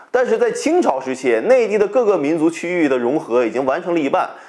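With a dark, mellow tone and very wide pitch swings, a man talks at a fairly quick pace against a quiet background. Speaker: history channel host. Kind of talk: educational commentary. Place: home room. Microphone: lapel.

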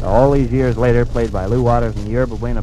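Music plays in the background behind a man's dry voice with no echo. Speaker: radio announcer. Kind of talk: broadcast announcement. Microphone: old recording.

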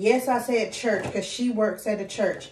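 Light background noise and audible room echo surround a woman's voice. She speaks at a fairly slow pace with fairly even intonation. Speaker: vlogger. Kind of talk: casual vlog chat. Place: home room. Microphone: phone near.

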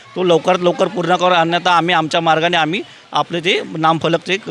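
A man speaks with a high pitch for a man and a fairly even intonation. Noticeable background noise can be heard. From Mumbai, Worli. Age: young. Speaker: ward coordinator for a political party. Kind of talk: on-location interview. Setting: outdoors at a sports ground.

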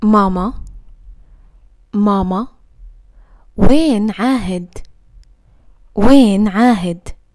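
A woman speaks at a medium pitch with ordinary pitch variation. Her pace is very slow, broken by long, frequent pauses. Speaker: Arabic language teacher. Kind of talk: language lesson, repeating phrases. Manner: slow, clear.

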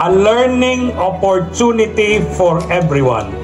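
Normal pitch movement over clear background music. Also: man. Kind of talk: speech. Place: stage. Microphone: handheld.

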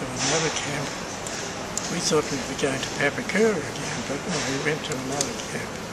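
Loud background noise surrounds a man speaking at a moderate pace. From New Zealand. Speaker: war veteran. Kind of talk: interview answer. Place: hall.

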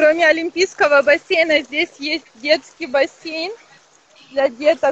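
In a dry sound with no echo, a woman talks fairly slowly. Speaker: hotel representative. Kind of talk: guided hotel tour on a live stream. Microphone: internet connection dropped; video call.

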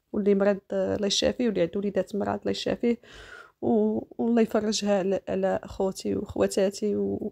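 Moderate-paced speech from a woman, the background quiet. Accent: Moroccan. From Morocco. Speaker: lifestyle vlogger. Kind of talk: casual vlog narration. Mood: warm, offering blessings. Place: home room. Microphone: phone near.

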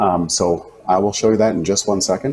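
A man with a fairly low pitch and a dark, mellow tone speaks at a moderate pace with fairly even intonation over light background noise. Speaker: teacher. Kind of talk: casual tutorial chat. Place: home room. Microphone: lapel.

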